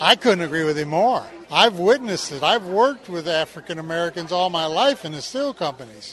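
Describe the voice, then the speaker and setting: The speech moves at a fairly quick pace with hardly any pauses. Noticeable background noise can be heard throughout. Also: man, high pitch for a man, lively intonation. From Mississippi. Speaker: retired steelworker. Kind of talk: street interview.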